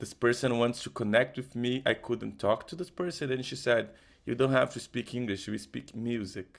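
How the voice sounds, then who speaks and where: In a very clean recording with a silent background, a man with a Portuguese accent talks at a medium pitch and moderate pace with ordinary pitch variation. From Brazil. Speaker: musician. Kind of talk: testimony. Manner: halting, with false starts.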